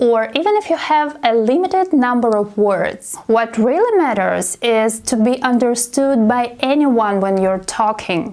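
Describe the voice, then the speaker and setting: A woman's high voice in a Russian accent, with lively intonation at a fairly slow pace. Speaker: English teacher. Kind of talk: casual talk to camera.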